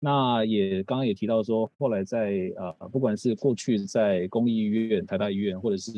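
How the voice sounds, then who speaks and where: In a plain, everyday voice, a man speaks at a moderate pace with a fairly low pitch and ordinary pitch variation. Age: 30s. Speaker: physical therapist and coach. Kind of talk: talk at a live seminar. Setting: stage with audience.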